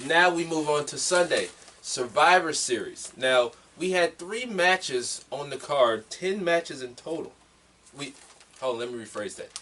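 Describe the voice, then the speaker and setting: Over noticeable background noise, a man with a fairly high pitch speaks at a moderate pace, his intonation lively and his loudness swinging widely. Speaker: wrestling podcast host. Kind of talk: casual chat.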